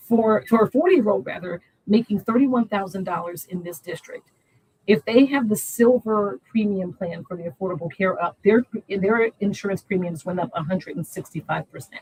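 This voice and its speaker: A woman's somewhat breathy, medium-pitched voice at a fairly quick pace, with lively intonation, big swings in loudness and a dry, close sound with no echo. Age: 60s. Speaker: congressional candidate and social worker. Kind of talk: interview.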